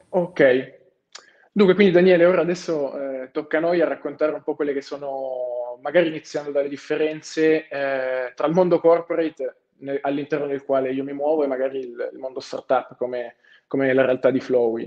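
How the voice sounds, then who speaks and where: A man with a plain, everyday voice, fairly high pitch, fairly even intonation and moderate pace, against a quiet background. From Turin, Italy. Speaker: finance graduate trainee. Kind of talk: webinar talk. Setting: video call. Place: office. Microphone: earbuds.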